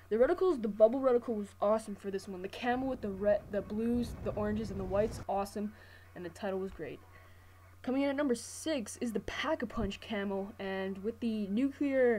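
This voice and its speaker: Speaking at a medium pitch with ordinary pitch variation, a woman talks at a fairly quick pace. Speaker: gaming commentator. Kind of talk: gameplay commentary. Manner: fast; casual.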